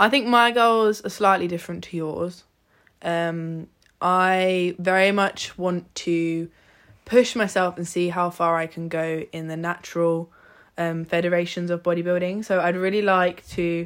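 In a very clean recording with a silent background, a woman with an ordinary speaking voice talks at a fairly slow pace, her fairly low pitch held in fairly even intonation. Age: 20s. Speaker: podcast co-host, bodybuilder. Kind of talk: casual chat.

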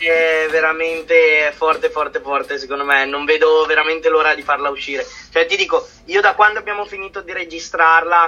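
A man in a normal speaking voice, fairly high in pitch, with ordinary pitch variation at a moderate pace. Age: 20s. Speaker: singer and musician. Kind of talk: podcast interview.

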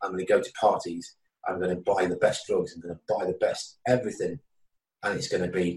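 A man speaks with a Welsh accent. His pace is fairly quick. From Wales. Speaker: author and addiction counselor. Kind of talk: interview about recovery from addiction.

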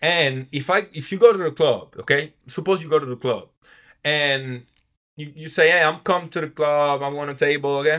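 A man with an Italian accent and a fairly high pitch speaks at a moderate pace with fairly even intonation and big swings in loudness. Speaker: professional basketball player and event entrepreneur. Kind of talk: casual interview. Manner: halting, with frequent repetitions.

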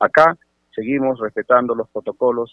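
At a fairly quick pace, a man is talking. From Sechura, Piura, northern Peru. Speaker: congressman. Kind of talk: radio interview. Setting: phone call. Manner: halting.

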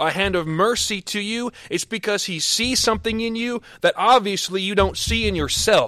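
A man's raised, projected voice, high and bright with a sharp tone, at a moderate pace with ordinary pitch variation. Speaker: preacher. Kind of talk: sermon. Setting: podcast recording, no live congregation. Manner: animated, fervent, preaching with rising intensity.

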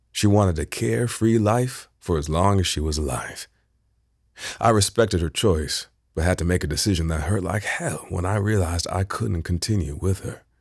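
Recorded very cleanly against a silent background, a man speaks with a very deep, low pitch, somewhat breathy, with ordinary pitch variation. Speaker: audiobook narrator. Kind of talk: literary audiobook reading, first-person fiction narration with character dialogue. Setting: unmastered audiobook sample recording. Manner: emotionally restrained, slow and measured, with a shaky, stunned tone in the dialogue.

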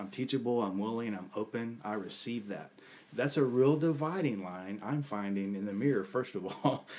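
A man speaks at a moderate pace and medium pitch in an unremarkable speaking voice. His pitch varies in an ordinary way. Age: 50s. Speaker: leadership coach. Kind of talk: casual interview.

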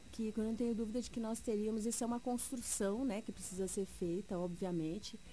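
With fairly even intonation, this woman's voice has a dark, mellow tone. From Mato Grosso, Brazil. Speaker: politician, teacher. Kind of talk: political interview.

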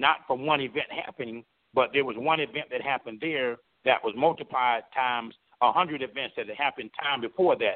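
At a fairly quick pace, a man speaks in a plain, everyday voice of medium pitch with ordinary pitch variation. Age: 50s. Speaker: former independent gubernatorial candidate. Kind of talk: interview. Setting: phone call.

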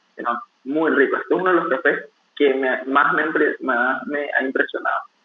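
The speaker is a man. He talks at a moderate pace. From Venezuela. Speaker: barista. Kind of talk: interview.

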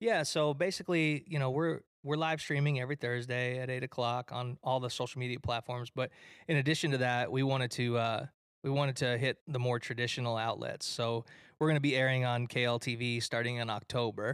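A man's plain, everyday voice with an American accent and fairly even intonation. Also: medium pitch for a man, fairly quick pace. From Detroit, Michigan, US. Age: 30s. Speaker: live event producer and musician. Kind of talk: casual chat. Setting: studio.

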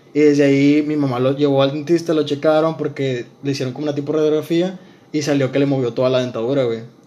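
A man at a fairly high pitch and a very fast pace, monotone and flat in intonation. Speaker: podcast co-host. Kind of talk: casual chat.

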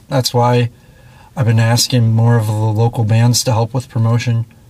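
Through noticeable background noise, a man speaks at a medium pitch and a fairly slow pace. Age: 20s. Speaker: punk musician and show promoter. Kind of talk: casual chat. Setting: in a parked tour van.

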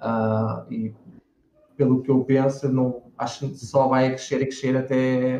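A man with a medium pitch talks at a very slow pace in a monotone, flat intonation. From Portugal, Lisbon. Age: 30s. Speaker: 3D character artist. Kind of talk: interview on a live stream.

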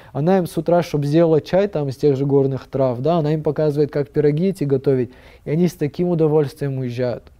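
A man talking at a very fast pace, fairly high in pitch, with ordinary pitch variation. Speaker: tower restoration project leader. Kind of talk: casual chat.

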